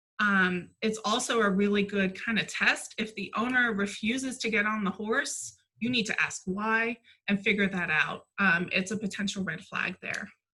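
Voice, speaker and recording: At a moderate pace, a woman talks in a normal speaking voice of medium pitch with fairly even intonation. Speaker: horse placement specialist. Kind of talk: webinar presentation.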